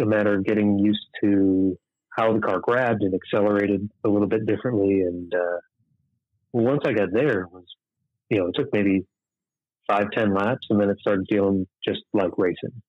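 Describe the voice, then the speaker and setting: A man with a fairly low pitch and an Upper Midwest accent, fairly even intonation, moderate pace. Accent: Upper Midwest American. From southern Minnesota, near Rochester. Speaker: sprint car racing driver. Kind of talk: casual interview. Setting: phone call.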